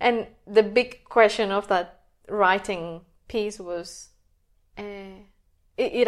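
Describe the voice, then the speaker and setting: A woman speaks at a fairly high pitch with fairly even intonation. The recording is very clean, with a silent background. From Colombia, Bogota. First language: Spanish. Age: 30s. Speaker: energy healer and health coach. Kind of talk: interview.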